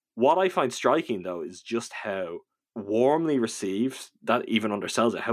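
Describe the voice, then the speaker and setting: A man with a Dublin accent speaks at a moderate pace and medium pitch, his intonation lively, on a very clean recording with a silent background. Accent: Dublin Irish. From Dublin, Ireland.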